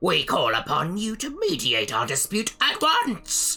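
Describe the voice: Faint music plays behind a put-on character voice that moves at a fairly slow pace.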